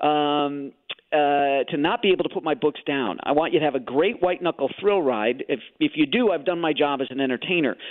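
With an American accent and a plain, everyday voice, a man of fairly high pitch speaks at a fairly quick pace with lively intonation. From Chicago, US Midwest. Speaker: thriller novelist. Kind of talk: radio interview.

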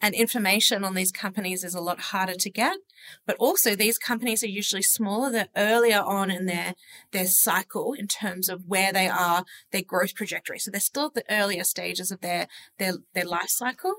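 Her tone bright and sharp, a woman with an Australian accent speaks at medium pitch with fairly even intonation in a dry, close sound with no echo. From Sydney, Australia. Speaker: social media lead at an investment firm. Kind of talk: casual interview chat.

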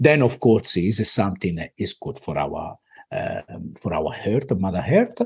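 A man speaks at a fairly slow pace with an Italian accent, his fairly low voice somewhat breathy and swinging very widely in pitch. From Italy. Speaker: business owner. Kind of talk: podcast interview. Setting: video call.

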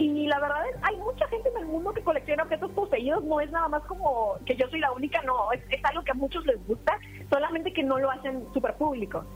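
Noticeable background noise surrounds a high-pitched woman speaking at a very fast pace with hardly any pauses. Her intonation is lively. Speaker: paranormal content creator. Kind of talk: interview.

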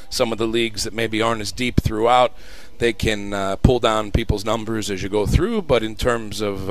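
Medium-pitched male voice at a fairly quick pace, with noticeable background noise. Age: 40s. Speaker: college soccer coach. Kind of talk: radio interview. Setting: live broadcast on campus. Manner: hesitant, many ums.

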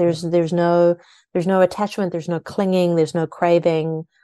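Over a quiet background, a woman speaks in a fairly low, dark, mellow voice with a South African accent. Her intonation stays monotone and flat. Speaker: author and spiritual mentor. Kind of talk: interview.

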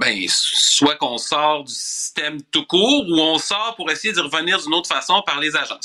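With an ordinary speaking voice, a man talks at a moderate pace in a fairly high pitch. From Quebec City suburbs (Charlesbourg). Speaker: political columnist. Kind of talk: radio commentary.

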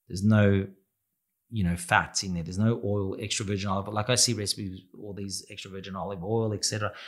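In an Australian accent, a man with a fairly low pitch speaks at a very fast pace in a monotone, flat intonation, on a very clean recording with a silent background. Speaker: restaurant owner and pizza chef. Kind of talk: interview.

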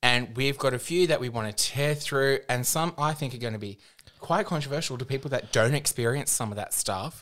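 With an Australian accent, a man talks at a fairly quick pace. His medium pitch shows ordinary variation. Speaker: podcast co-host, drag performer. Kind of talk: casual chat.

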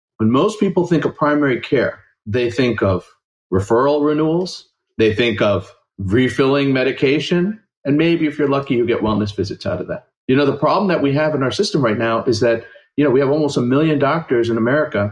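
Fairly high in pitch, a man with an unremarkable speaking voice talks at a fairly quick pace using lively intonation. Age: 40s. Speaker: family doctor. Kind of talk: interview.

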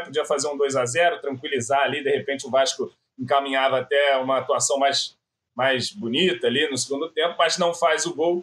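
A man talks at a fairly quick pace. He has a plain, everyday voice. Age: 30s. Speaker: football fan commentator. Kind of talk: casual chat.

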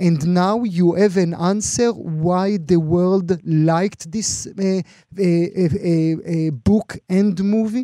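Very slow speech with long, frequent pauses, fairly even intonation and a dark, mellow tone. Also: man, high pitch for a man. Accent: Israeli. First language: Hebrew. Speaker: radio interviewer. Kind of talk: radio interview, bilingual Hebrew and English. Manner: halting, with fillers.

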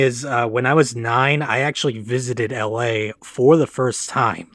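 At medium pitch, a man with an ordinary speaking voice talks with fairly even intonation. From Michigan, US Midwest. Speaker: film production assistant. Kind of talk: interview.

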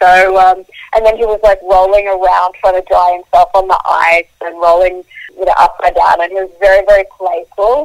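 The speech moves at a moderate pace in an Australian accent, with monotone, flat intonation. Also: woman. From Australia, Queensland. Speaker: wildlife photographer. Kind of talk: interview.

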